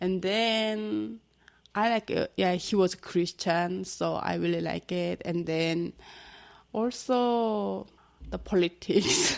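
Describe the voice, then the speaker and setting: A woman talks at a very slow pace, captured in a very clean recording against a silent background. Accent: Korean. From North Korea. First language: Korean. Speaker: North Korean defector. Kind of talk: interview. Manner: halting.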